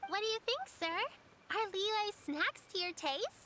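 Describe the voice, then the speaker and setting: Putting on a squeaky character voice, a woman speaks at an extremely high pitch with lively intonation and a fairly slow pace while music plays in the background. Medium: video game. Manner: warm, caring.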